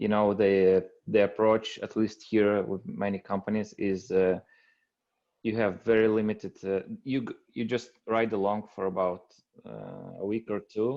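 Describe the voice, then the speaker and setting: A man's fairly low voice, flat and monotone, at a fairly slow pace. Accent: European. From Europe. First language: non-English European language. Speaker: aspiring appliance repair technician. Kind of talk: group video call discussion. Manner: halting, many fillers.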